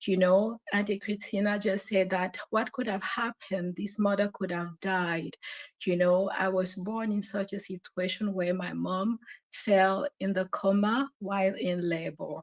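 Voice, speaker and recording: A woman's medium-pitched voice with a French accent, fairly even intonation and a fairly slow pace, in a dry, close sound with no echo. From Cameroon. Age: 40s. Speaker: caller. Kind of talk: testimony. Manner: halting.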